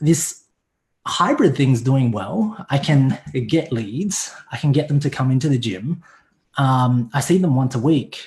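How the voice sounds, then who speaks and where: Somewhat breathy and fairly slow, a man with an American accent speaks with lively intonation. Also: fairly high pitch for a man. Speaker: online fitness coach. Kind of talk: casual chat. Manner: casual, profane.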